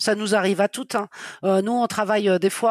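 Recorded dry and close, with no echo at all, a woman is talking. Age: 50s. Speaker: freelance web writer and novelist. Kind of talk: interview. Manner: hesitant, frequent fillers.

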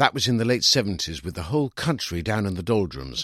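The voice has a fairly bright tone, big pitch swings and a fairly quick pace. The recording is very clean with a silent background and a dry, close sound with no echo. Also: man.

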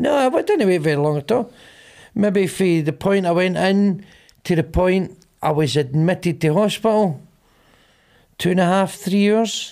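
In a strong Glaswegian accent, a man with a high pitch speaks at very even loudness with ordinary pitch variation and long, frequent pauses, in a very clean recording with a silent background. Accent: Glaswegian, broad. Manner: animated, mocking, repeating himself for emphasis.

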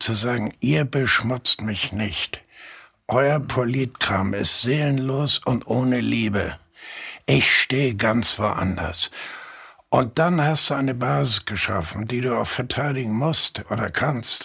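A man speaks at a very slow pace in a medium pitch with ordinary pitch variation. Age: 80s+. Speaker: journalist and novelist. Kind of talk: interview conversation.

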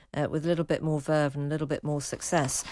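There's a quiet background while a woman delivers her words in a very deep, low pitch. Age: 50s. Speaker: radio host. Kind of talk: casual chat.

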